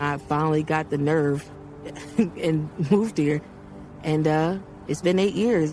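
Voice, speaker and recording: A woman with a very deep, low pitch and ordinary pitch variation, at a fairly slow pace with long, frequent pauses, music in the background. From Baltimore, US. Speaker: country singer. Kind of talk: interview testimony.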